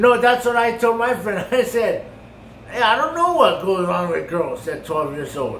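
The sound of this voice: With audible room echo, a man speaks at a moderate pace in a high pitch, with lively intonation and a fairly bright tone.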